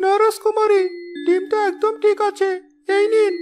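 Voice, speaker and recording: An extremely high-pitched cartoonish character voice is heard. It moves at a moderate pace. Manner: deferential.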